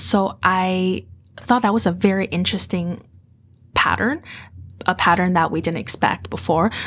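A woman speaks at a medium pitch and a moderate pace. Her intonation is fairly even, with long, frequent pauses. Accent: Mandarin. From Beijing, China. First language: Mandarin. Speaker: MBA student, former dive instructor and finance manager. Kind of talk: casual interview.

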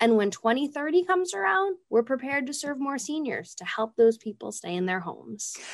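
A woman's high-pitched voice at a fairly quick pace, with hardly any pauses, very wide pitch swings and big swings in loudness. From Rhode Island. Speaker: nonprofit executive director. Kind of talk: interview.

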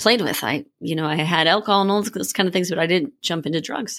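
With an American accent, a woman talks in a fairly low pitch with vocal fry. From Minnesota. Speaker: executive coach and retreat co-founder. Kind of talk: interview.

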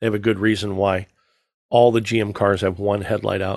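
An animated man at a fairly quick pace against a quiet background. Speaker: podcast host. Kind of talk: casual banter about cars. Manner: joking, animated.

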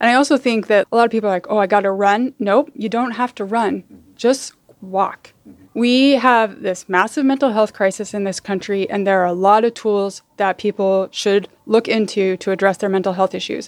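In an American accent, an ordinary speaking voice moves at a moderate pace with ordinary pitch variation, recorded with a dry, close sound with no echo. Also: woman, medium pitch for a woman. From Utah, suburbs of Salt Lake. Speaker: sports club president. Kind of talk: interview.

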